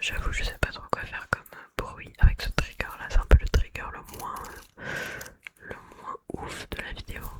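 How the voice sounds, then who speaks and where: Whispering at a fairly slow pace, a woman's voice rises and falls sharply in loudness. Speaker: ASMR content creator. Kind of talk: casual talk to camera, ASMR whisper-style intro. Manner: soft-spoken, relaxed, chatty.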